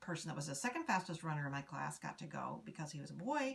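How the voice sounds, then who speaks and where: A woman speaks in an American accent with vocal fry. Her pitch is very deep and low. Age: 60s. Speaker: oral history interviewee. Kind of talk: oral history interview. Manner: halting, many fillers.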